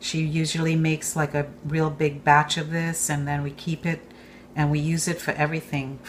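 Somewhat breathy and very deep and low in pitch, a woman speaks at a moderate pace with fairly even intonation over light background noise. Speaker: home cook host. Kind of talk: tutorial. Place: kitchen.

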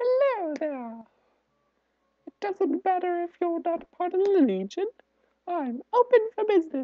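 A put-on character voice, female-sounding and extremely high in pitch, at a moderate pace with long, frequent pauses. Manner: inviting, salesy.

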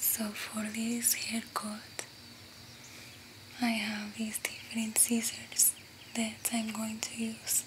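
Whispering in a gentle tone, a woman speaks at a very slow pace with long, frequent pauses. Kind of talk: ASMR roleplay talk to viewer. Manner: soft, gentle ASMR speech close to the mic. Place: home room.

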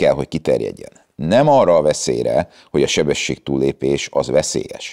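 The speaker talks at a fairly quick pace against a quiet background. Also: man. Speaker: traffic lawyer. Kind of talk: interview. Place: garage. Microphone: lapel.

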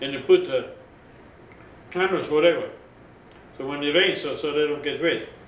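A man's voice at a moderate pace, with long, frequent pauses and audible echo from the room. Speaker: oral history interviewee, camp survivor. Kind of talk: oral history interview, recounting personal story to camera. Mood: calm recollection of hardship. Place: home room.

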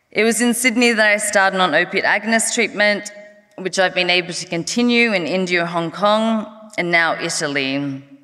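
Over a quiet background, someone with an Australian accent speaks at a moderate pace with ordinary pitch variation. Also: woman. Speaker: harm reduction advocate, NGO executive director. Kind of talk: conference speech. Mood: personal, earnest. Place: stage. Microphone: podium.

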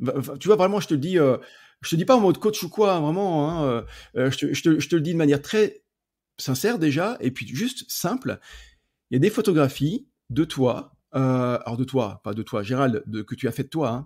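A man's voice swings very widely in pitch in a very clean recording with a silent background. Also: fairly high pitch for a man, moderate pace. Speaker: podcast host and photography coach. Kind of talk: podcast interview.

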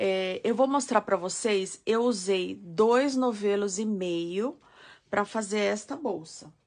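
A woman at a very slow pace with ordinary pitch variation, over a quiet background. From São Paulo state, Brazil (ABC Paulista). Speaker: crochet teacher. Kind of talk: live-stream tutorial. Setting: live stream.

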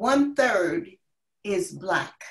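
A somewhat breathy voice with an American accent, very wide pitch swings and a quiet background. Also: woman. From US Northeast. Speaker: community leader. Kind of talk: panel discussion. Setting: video call. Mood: earnest, impassioned. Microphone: video call.

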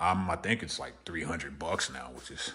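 The background stays quiet. A man talks at a fairly quick pace. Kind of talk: casual vlog chat. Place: garage. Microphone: phone near.

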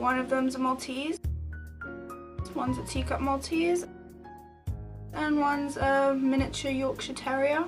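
High pitch from a woman, monotone and flat, against noticeable background noise. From South Africa. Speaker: student vlogger. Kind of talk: casual talk to camera. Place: home room. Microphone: webcam.

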